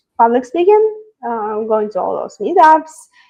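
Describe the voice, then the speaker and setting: Speaking with a non-native accent, a woman uses a fairly high pitch, ordinary pitch variation and a dark, mellow tone. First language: not English. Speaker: software engineer. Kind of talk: interview. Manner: hesitant, many fillers.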